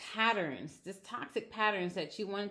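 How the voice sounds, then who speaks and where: A woman's voice with a bright, sharp tone. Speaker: tarot reader. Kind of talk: tarot reading. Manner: halting.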